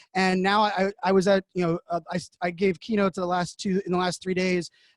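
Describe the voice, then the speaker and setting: A loud man's voice, high for a man, with a dry, close sound and no echo. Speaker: digital media evangelist and keynote speaker. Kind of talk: interview. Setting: remote from home. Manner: fast. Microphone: studio podcasting microphone.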